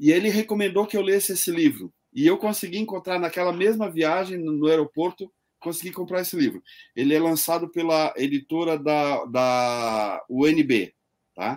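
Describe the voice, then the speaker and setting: On a very clean recording with a silent background, a man speaks in a high voice with lively intonation. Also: moderate pace. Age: 60s. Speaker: online show host. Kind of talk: interview.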